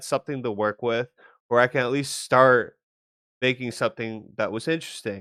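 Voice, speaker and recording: On a very clean recording with a silent background and a dry, close sound with no echo, a man speaks at a fairly quick pace in a medium pitch. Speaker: architecture student. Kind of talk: presentation. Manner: halting, repeated words.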